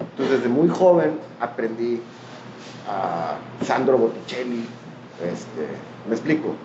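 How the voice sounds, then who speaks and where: A man speaks at a medium pitch in a Mexican accent, with lively intonation at a fairly slow pace and long, frequent pauses. Noticeable background noise and audible room echo are present. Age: 40s. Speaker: artist and architect. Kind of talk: casual interview.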